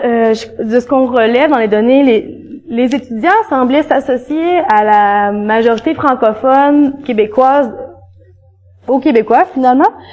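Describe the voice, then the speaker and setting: Against noticeable background noise, a woman with a Quebec accent speaks at a fairly slow pace in a high pitch with ordinary pitch variation. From eastern Quebec, rural village. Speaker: graduate student researcher. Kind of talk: academic conference talk. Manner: conversational, hesitant with fillers.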